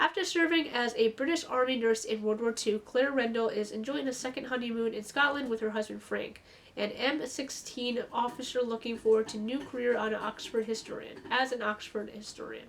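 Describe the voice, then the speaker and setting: A raspy, put-on character voice from a woman, fairly high in pitch, at a fairly quick pace with hardly any pauses, over light background noise. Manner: reading very fast.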